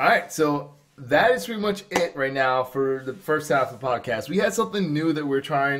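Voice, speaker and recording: A man's lively intonation with hardly any pauses, amid noticeable background noise. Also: fairly high pitch for a man, moderate pace. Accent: New Jersey. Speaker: podcast host. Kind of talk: casual chat.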